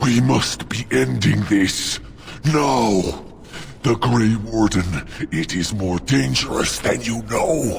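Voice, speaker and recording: Growling in a put-on character voice, a man with a fairly low pitch speaks at a very slow pace over clear background noise. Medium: video game. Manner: odd stilted phrasing.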